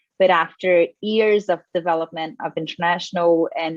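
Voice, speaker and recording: A woman speaks with a Portuguese accent. Her pitch is fairly low and her pace moderate. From Brazil. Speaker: environmental lawyer and climate litigation researcher. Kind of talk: panel talk.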